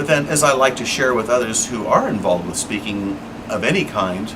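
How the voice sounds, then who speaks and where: A man talks at a moderate pace with lively intonation and medium pitch. Noticeable background noise runs under his voice. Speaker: podcast host. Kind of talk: unscripted spoken monologue. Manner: occasional filler words.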